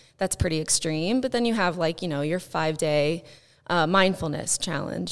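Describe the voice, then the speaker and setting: On a very clean recording with a silent background, the voice carries vocal fry and an American accent at a moderate pace. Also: woman. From US Midwest, southern Indiana. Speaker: life coach and fitness specialist. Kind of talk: interview.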